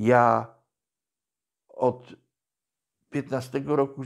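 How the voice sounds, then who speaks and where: A man's voice against a quiet background. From Poland, Podkarpacie (Jasło); Podkarpacie, Poland. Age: 60s. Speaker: former drug addict sharing conversion story; interviewee. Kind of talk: testimony. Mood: calm, reflective storytelling. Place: office.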